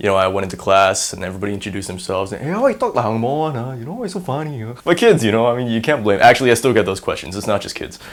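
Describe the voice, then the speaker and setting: Talking very fast with hardly any pauses, a man with an American accent uses lively intonation, a medium pitch, and big swings in loudness. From Singapore. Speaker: university student. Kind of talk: casual interview monologue. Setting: on camera. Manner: animated.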